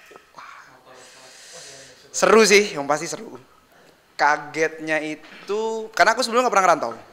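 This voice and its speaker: A man speaks at a high pitch and moderate pace, with lively intonation and big swings in loudness. Long, frequent pauses break up his speech over noticeable background noise. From Jakarta, Indonesia. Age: 20s. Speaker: band drummer. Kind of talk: casual interview chat.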